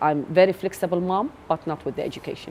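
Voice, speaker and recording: Fairly even intonation from a woman, delivered at a moderate pace. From Iraq. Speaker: interviewee, migrant mother. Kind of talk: interview.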